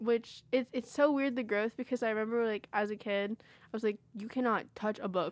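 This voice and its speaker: A woman with an unremarkable speaking voice talks fairly high in pitch with fairly even intonation, hardly any pauses and big swings in loudness. The sound is dry and close with no echo, over a quiet background. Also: moderate pace. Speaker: college radio host. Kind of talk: casual chat. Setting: studio.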